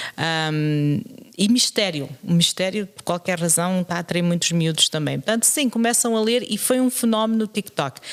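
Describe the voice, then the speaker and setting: Her intonation lively, a woman speaks at a moderate pace and medium pitch. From Portugal, moved to Canada at 13. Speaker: secondary school teacher and podcast co-host. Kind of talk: casual chat. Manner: hesitant, with frequent fillers and repetitions.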